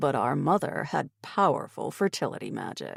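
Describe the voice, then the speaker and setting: A man performs a put-on character voice at a moderate pace. The recording is very clean with a silent background. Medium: read story.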